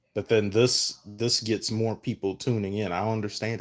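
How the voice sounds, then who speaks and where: On a very clean recording with a silent background, a man talks at a fairly low pitch and a fairly quick pace. His intonation is monotone and flat. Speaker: sports streamer. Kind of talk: casual live stream chat. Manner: slurred; halting, many fillers.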